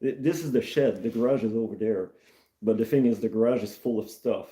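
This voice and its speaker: At a very fast pace, a man talks in a dark, mellow tone with fairly even intonation. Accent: Quebec. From Canada, Maritimes, Acadian, born in Quebec. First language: French. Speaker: mechanic and streamer. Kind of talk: casual live stream chat. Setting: shed. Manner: halting.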